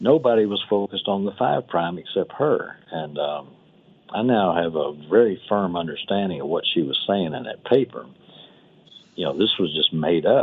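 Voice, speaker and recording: A man with a normal speaking voice, fairly low in pitch, at a moderate pace with lively intonation. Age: 60s. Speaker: nanotechnology company executive. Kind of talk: radio interview.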